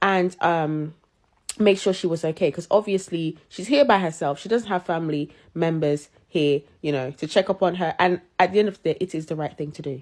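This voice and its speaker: The voice is animated, with big swings in loudness and ordinary pitch variation. Its pace is moderate. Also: woman, fairly low pitch for a woman. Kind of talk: storytelling.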